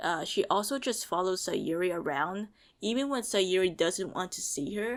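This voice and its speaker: A woman's normal speaking voice at a medium pitch and moderate pace, with lively intonation, in a very clean recording with a silent background. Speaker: video reviewer. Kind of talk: video review commentary. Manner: many fillers like uh and um.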